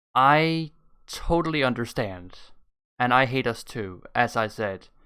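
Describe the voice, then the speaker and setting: A man's medium-pitched voice with a Danish accent, bright and sharp in tone, lively intonation, a fairly slow pace, and a very clean recording over a silent background. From Denmark. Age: 20s. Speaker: YouTube reactor. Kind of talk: casual reaction commentary. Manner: animated.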